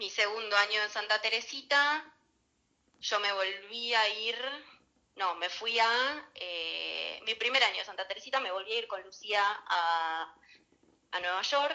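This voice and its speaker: A woman's fairly high pitch in a Rioplatense accent, at a fairly slow pace with ordinary pitch variation and long, frequent pauses. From Argentina, Buenos Aires northern suburbs. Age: 30s. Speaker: pastry chef. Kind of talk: interview.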